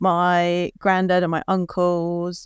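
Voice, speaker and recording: The speaker has an English accent, and the sound is dry and close with no echo. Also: woman. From southern England, Kent. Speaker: beer educator. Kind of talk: casual interview. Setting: video call.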